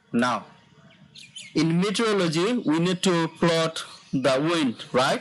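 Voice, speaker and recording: A man speaks at a very slow pace with a high pitch, his intonation lively and his loudness very even. Long, frequent pauses break up his speech over noticeable background noise. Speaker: online course instructor. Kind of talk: tutorial. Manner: slow, deliberate pacing.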